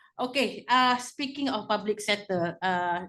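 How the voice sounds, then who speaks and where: Over a quiet background, a woman with a Malaysian accent talks fairly slowly at a fairly high pitch with lively intonation. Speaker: former anti-corruption officer. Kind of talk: panel discussion.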